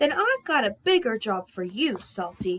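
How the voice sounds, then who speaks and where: Using a put-on character voice, a woman speaks at moderate pace with fairly high pitch and very wide pitch swings. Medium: read story. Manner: stern.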